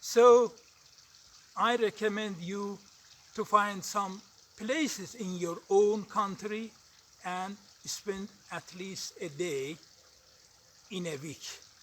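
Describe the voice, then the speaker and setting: In an Azerbaijani accent, a man speaks at a very slow pace with a high pitch. His loudness swings widely, and long pauses come often. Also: ordinary pitch variation. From Iran. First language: Azeri. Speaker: english learner vlogger. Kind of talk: casual vlog monologue. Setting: outdoors on a mountain. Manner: halting, with frequent hesitations.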